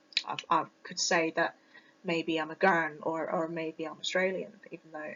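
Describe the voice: A woman with a British accent speaks at a fairly low pitch. Her tone is fairly bright and her pace moderate. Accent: British, Received Pronunciation.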